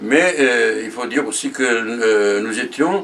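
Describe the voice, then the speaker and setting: Noticeable background noise fills the clip. Over it, a man talks at a very slow pace. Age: 90s. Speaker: war veteran. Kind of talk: testimony. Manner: halting, many hesitations; repetitive, slow.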